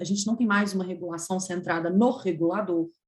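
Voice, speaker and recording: The woman's voice is somewhat breathy. It shows ordinary pitch variation. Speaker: energy regulation lawyer, webinar panelist. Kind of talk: webinar talk. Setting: video call.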